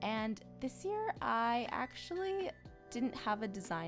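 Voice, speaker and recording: Music plays in the background as a woman speaks. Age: 20s. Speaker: cake decorator. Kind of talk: tutorial voiceover.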